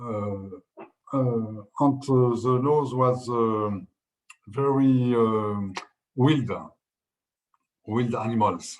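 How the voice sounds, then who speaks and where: A man with a French accent talks at a very slow pace, leaving long, frequent pauses. His intonation stays fairly even, and the room echo is audible. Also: medium pitch for a man. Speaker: winemaker. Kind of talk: interview. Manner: halting.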